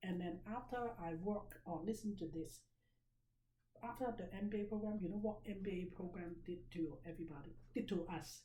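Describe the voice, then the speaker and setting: The voice is somewhat breathy with a dark, mellow tone and ordinary pitch variation, and audible room echo surrounds it. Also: woman, medium pitch for a woman, moderate pace. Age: 60s. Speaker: business seminar teacher. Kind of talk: seminar lecture. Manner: conversational, interactive.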